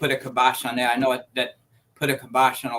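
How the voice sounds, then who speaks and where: In an American accent, a man talks at a moderate pace and medium pitch, with a bright, sharp tone and flat, monotone intonation. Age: 60s. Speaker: guest co-host. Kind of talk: casual chat.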